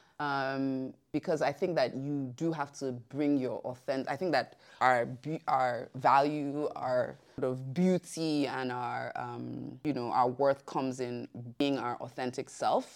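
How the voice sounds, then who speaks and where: A woman speaks in a very deep, low voice at a fairly slow pace. Her intonation is fairly even, and she hardly pauses at all. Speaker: communications director. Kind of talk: podcast interview. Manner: hesitant, many fillers.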